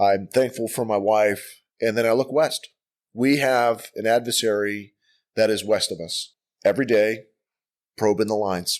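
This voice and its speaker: A man with an American accent speaks at a moderate pace in a medium pitch with fairly even intonation. The recording is very clean, with a silent background. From US Midwest, Milwaukee, Wisconsin. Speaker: army command sergeant major. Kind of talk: casual chat. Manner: rambling.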